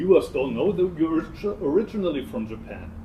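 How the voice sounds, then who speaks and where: A man with lively intonation, amid audible room echo and noticeable background noise. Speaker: Zen monk. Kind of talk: interview conversation. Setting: temple in Seoul.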